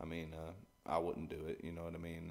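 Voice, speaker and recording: A man speaks with a Texan accent. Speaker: singer-songwriter. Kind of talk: interview. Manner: halting, many repetitions.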